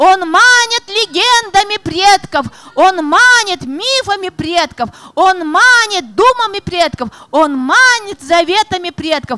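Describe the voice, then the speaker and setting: This woman's voice is extremely high-pitched, bright and sharp, raised and projected. She talks at a very slow pace with lively intonation. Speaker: poet and writer. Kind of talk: reading poetry and talk at a literary presentation. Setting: stage, festival panel. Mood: solemn, declamatory recitation. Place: stage. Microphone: handheld.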